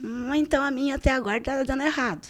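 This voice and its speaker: A woman speaks at a high pitch. Her pace is fairly quick. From Brazil, interior of Paraná state (Primeiro de Maio). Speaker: civil servant, community security council worker. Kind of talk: casual podcast interview.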